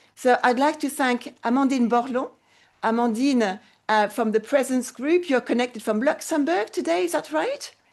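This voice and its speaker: Her voice high, a woman with a French accent speaks at a moderate pace with lively intonation and very even loudness, against a quiet background. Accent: French accent when speaking English. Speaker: interpreting lecturer hosting mock conference. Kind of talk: conference moderation. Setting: university conference room, web streamed.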